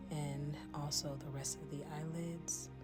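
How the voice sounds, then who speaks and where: Soft-spoken, a woman talks at a very slow pace. Music plays in the background. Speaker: ASMR makeup artist. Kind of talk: soft-spoken ASMR makeup tutorial.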